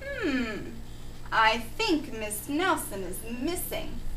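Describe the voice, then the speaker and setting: Over clear background noise, a woman uses a put-on character voice at a very slow pace. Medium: read story. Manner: slow, ponderous.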